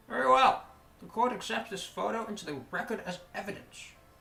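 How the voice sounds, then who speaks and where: The voice is an exaggerated, put-on character. It pitches fairly high. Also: fairly quick pace. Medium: game stream. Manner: bumbling, naive.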